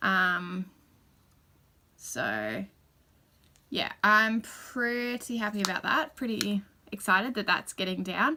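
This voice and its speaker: Speaking at a very slow pace with long, frequent pauses, a woman uses a bright, sharp tone, a medium pitch and ordinary pitch variation. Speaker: beauty vlogger. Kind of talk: casual product review vlog.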